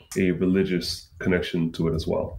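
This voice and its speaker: A man's very deep, low voice with an American accent, monotone, flat intonation and audible room echo. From US Northeast, Brooklyn, New York. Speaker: tech executive. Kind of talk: interview. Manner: halting, many fillers and restarts.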